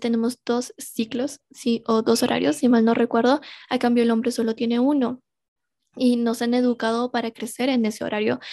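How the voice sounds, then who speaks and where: A woman talks at a fairly quick pace in a high pitch with a dark, mellow tone. Her intonation is monotone and flat, and the sound is dry and close with no echo. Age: 20s. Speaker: podcast host. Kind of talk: personal reflection monologue.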